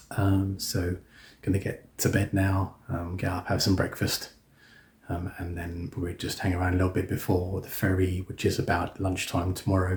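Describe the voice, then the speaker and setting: A man's very deep, low voice, somewhat breathy, at a moderate pace with monotone, flat intonation. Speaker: coach driver vlogger. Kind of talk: casual vlog. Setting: hotel room; in a minibus. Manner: hesitant, many fillers; quiet, keeping voice down.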